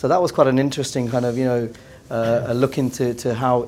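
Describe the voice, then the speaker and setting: A man talks at a very fast pace with an English accent. His intonation stays monotone and flat. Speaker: business executive. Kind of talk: round table discussion. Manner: halting, many repeated words.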